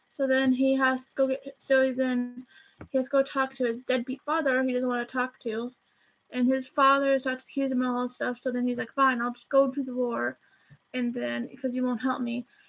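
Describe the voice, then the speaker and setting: This woman has a high-pitched voice. Her intonation is flat and monotone. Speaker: YouTuber movie reviewer. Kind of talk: casual movie review vlog. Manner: fast; rambling, halting with restarts.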